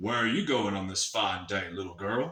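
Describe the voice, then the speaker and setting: Speaking at a moderate pace, a man performs in a put-on character voice. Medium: read story. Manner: sly, crafty.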